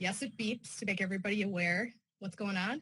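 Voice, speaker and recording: A woman speaks with ordinary pitch variation. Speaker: weather service staff presenter. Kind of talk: conference presentation. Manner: fast.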